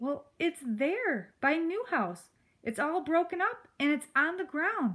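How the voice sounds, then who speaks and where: In a put-on character voice, a woman talks fairly slowly at an extremely high pitch. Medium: read story. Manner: earnest, polite.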